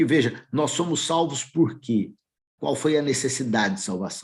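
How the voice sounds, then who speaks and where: A man talks at a moderate pace with ordinary pitch variation in an ordinary speaking voice. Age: 60s. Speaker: lay preacher. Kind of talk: sermon.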